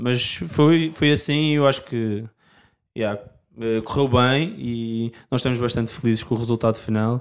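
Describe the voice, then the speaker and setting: At a fairly slow pace and with ordinary pitch variation, a man of medium pitch speaks in an unremarkable speaking voice, captured in a very clean recording with a silent background. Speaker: indie rock singer and guitarist. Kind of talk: casual interview chat.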